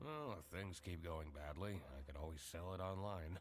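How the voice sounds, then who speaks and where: A man's put-on character voice, very deep and low in pitch, at a moderate pace over clear background noise. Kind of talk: hard-boiled noir voice-over. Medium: video game. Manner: deadpan, brooding, world-weary.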